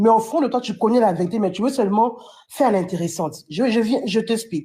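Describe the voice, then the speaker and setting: This woman talks with a fairly high pitch, keeping a moderate pace. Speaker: fan commentator. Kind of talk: live stream commentary. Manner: animated.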